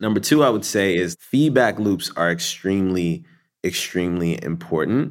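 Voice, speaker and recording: The recording is very clean, its background silent. A man with a very deep, low pitch talks at a moderate pace with lively intonation. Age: 30s. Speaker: marketing executive. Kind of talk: interview.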